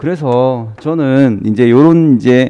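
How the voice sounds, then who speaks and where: Medium pitch from a man with a dark, mellow tone. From Busan, South Korea. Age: 40s. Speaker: exam prep lecturer. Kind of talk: lecture.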